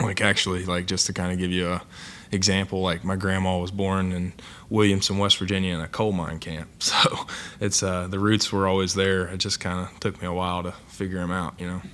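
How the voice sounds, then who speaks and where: In a monotone, flat delivery, a man with an American accent speaks at a very deep, low pitch with a bright, sharp tone. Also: fairly quick pace. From southern Ohio, Appalachian area near Ironton. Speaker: college football player. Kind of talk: press conference interview. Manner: hesitant, many filler words.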